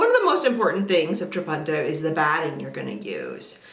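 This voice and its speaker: A woman with an American accent, fairly low in pitch and animated in tone, amid audible room echo and noticeable background noise. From US South. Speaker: quilting teacher. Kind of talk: tutorial.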